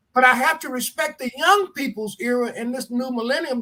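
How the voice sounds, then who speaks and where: At a fairly quick pace, a man speaks in a raised, projected voice with an extremely high pitch and a bright, sharp tone. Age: 70s. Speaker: addiction treatment program leader. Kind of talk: interview. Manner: halting, repeats words.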